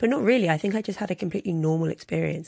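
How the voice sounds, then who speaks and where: With a London accent, a woman speaks at a very fast pace using ordinary pitch variation. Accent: southern English (London). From London, England. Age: 30s. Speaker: journalist and author. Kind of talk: interview conversation.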